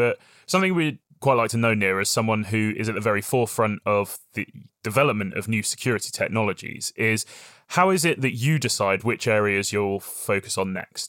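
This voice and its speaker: A man speaks with a British accent at a fairly quick pace. The recording is very clean with a silent background, and the sound is dry and close with no echo. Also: medium pitch for a man, ordinary pitch variation. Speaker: podcast host. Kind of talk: podcast interview.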